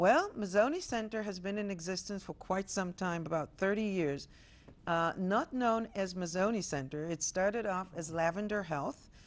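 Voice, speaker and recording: A woman's medium-pitched voice with an Israeli accent, moderate pace, and ordinary pitch variation. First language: Hebrew. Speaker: health center executive director. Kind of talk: TV interview. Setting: studio.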